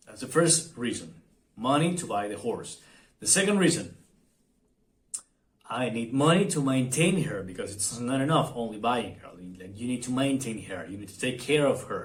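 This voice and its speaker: Amid audible room echo, a somewhat breathy man speaks at a moderate pace with very wide pitch swings, big swings in loudness, and long, frequent pauses. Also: medium pitch for a man. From Argentina. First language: Spanish. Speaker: vlogger. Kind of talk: casual vlog monologue. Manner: halting, many fillers and repetitions.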